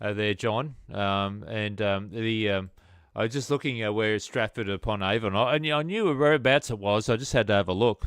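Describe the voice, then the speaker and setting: A man's fairly low voice with an Australian accent at a fairly quick pace, dry and close with no echo and a quiet background. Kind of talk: amateur radio contact. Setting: radio transmission. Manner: halting, many fillers.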